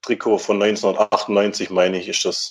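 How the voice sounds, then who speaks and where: A man's voice against a quiet background. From Württemberg, Germany (Mühlacker). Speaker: football fan. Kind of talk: casual chat.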